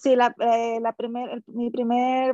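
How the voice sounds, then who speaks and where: A woman speaks with a strong Mexican accent at a high pitch. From Mexico, Sinaloa. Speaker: elite triathlete. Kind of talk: casual interview.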